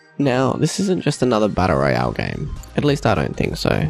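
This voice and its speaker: Music plays in the background. A man speaks at a medium pitch and a moderate pace. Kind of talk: gaming review narration.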